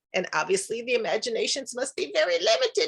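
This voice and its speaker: A woman talks at a fairly quick pace with an American accent. Her voice is high-pitched, with a bright, sharp tone. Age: 70s. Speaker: actress. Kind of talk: casual chat.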